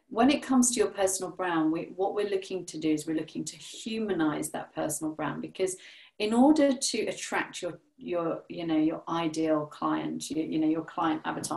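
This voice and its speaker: A woman at fairly low pitch, moderate pace and ordinary pitch variation. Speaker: personal brand photographer and strategist. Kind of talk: casual interview chat.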